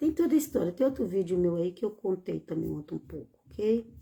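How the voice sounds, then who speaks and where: A woman's vocal fry at a fairly quick pace. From Bahia, Brazil (rural), moved to São Paulo at 15. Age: 60s. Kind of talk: religious teaching livestream. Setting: live stream. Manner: informal, repetitive with hesitations.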